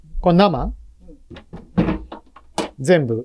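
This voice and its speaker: At a fairly slow pace, a man speaks with a dark, mellow tone over noticeable background noise. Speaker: vlog narrator, family member. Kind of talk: casual vlog narration and chat. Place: home room. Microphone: phone near.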